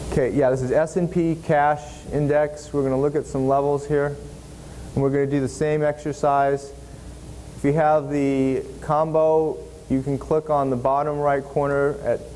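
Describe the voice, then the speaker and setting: A man talks at a moderate pace in a monotone, flat intonation. His loudness stays very even. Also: fairly high pitch for a man. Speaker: seminar instructor. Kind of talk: software tutorial.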